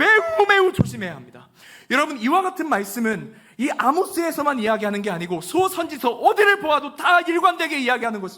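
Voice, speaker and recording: A man speaks in a raised, projected voice at an extremely high pitch. His pitch swings very widely, and his pace is fairly quick. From Chungcheong (Chungnam), Korea. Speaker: pastor. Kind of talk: sermon.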